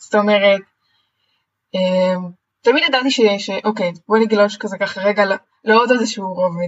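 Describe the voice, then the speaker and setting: A woman speaks in a somewhat breathy voice, leaving long, frequent pauses. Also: medium pitch for a woman, ordinary pitch variation, moderate pace. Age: 20s. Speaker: personal coach. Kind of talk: interview. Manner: energetic.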